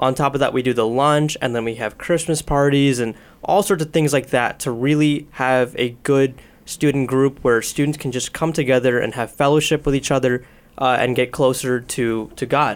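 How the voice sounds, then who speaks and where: Using a normal speaking voice, a man with an American accent talks at a medium pitch and a moderate pace with fairly even intonation. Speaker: student ministry leader. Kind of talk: interview conversation. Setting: studio.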